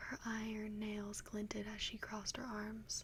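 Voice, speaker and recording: Whispering very slowly, the speaker keeps a soft-spoken delivery. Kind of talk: fiction reading. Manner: whispered, soft.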